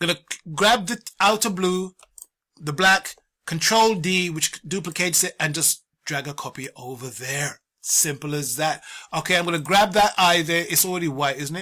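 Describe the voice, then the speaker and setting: A man with a British accent speaks in a high pitch and a bright, sharp tone, with ordinary pitch variation. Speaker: art tutorial teacher. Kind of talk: tutorial. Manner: fast; casual.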